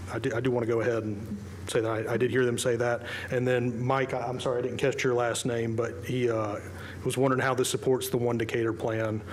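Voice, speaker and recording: Amid noticeable background noise and audible room echo, a man talks at a very fast pace and medium pitch with monotone, flat intonation. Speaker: developer applicant. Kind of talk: public hearing testimony. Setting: public meeting. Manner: halting.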